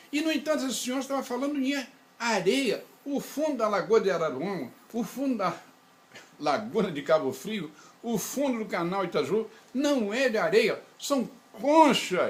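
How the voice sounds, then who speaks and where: This man speaks at an extremely high pitch. His intonation is lively. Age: 80s+. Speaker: engineer and researcher. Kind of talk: interview.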